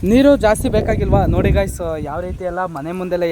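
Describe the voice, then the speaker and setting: Lively intonation runs through this man's speech. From Karnataka, Mandya district. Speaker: YouTube vlogger. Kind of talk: vlog walkthrough and interview. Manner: casual, conversational.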